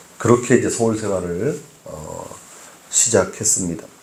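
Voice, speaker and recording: Audible room echo follows a man as he speaks at a fairly slow pace. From Seoul, childhood in Gangwon (Taebaek) until age 9. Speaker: pastor. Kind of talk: sermon. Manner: hesitant with frequent fillers.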